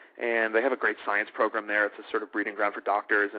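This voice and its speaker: With an American accent, a man is talking. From North Shore of Massachusetts. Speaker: TV host. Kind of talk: interview answer.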